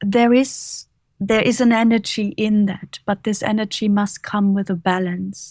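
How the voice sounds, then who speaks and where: A woman's calm, somewhat breathy voice at a medium pitch, with a German accent, at a fairly slow pace, in a monotone with flat intonation and very even loudness, on a very clean recording with a silent background and a dry, close sound with no echo. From Germany, Bavaria. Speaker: author and leadership coach. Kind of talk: interview.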